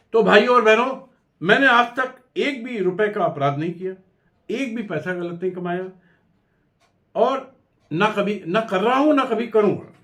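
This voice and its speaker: A man with a high pitch and a bright, sharp tone. He pauses often and at length. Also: lively intonation. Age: 70s. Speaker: lawyer and party founder. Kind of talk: political address to camera. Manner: formal.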